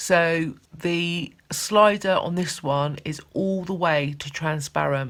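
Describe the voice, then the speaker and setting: Speaking very slowly with hardly any pauses, a woman keeps her intonation fairly even at a fairly low pitch. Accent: British. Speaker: art teacher. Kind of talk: tutorial.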